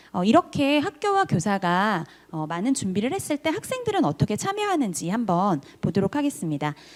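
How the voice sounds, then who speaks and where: A woman talks at a fairly quick clip with a fairly high pitch. Her voice swings very widely up and down. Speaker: teacher. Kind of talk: conference presentation. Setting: online forum. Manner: fast.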